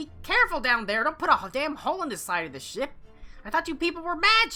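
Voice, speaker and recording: A put-on character voice, high-pitched with very wide pitch swings, at a fairly quick pace over faint music in the background. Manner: scolding, bossy.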